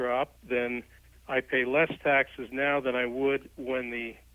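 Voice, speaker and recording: A man's medium-pitched voice at a fairly slow pace. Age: 60s. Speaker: caller. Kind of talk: call-in question. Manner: hesitant with fillers.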